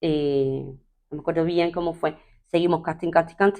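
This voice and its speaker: Fairly slow and fairly low in pitch, a woman's voice carries on. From Cuba. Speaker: TV presenter, radio announcer, actress. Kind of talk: interview answer.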